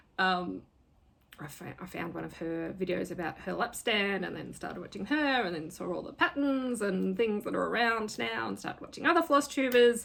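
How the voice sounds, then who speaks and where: A woman speaks at a moderate pace with an Australian accent. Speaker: craft vlogger and fantasy writer. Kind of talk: casual vlog talk. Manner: hesitant, many fillers.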